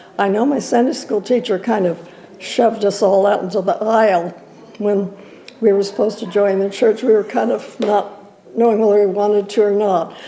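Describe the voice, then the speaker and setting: A woman with a medium pitch speaks fairly quickly with fairly even intonation and very even loudness. Background noise is noticeable. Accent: American. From Southern California. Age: 90s. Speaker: elderly church member. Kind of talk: interview reminiscence. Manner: halting, many fillers.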